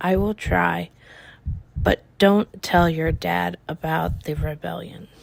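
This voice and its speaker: A raspy, put-on character voice speaks at a fairly slow pace on a very clean recording with a silent background. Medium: read story.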